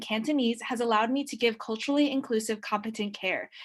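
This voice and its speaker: Talking very fast in a Californian accent, a woman shows ordinary pitch variation. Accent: Californian American English. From San Francisco, US West Coast. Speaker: postpartum doula and student. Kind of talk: public comment at board meeting.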